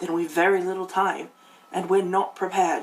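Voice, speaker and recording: In a raspy put-on character voice at middle pitch, the speaker talks at a moderate pace with monotone, flat intonation. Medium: read story. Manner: earnest, anxious.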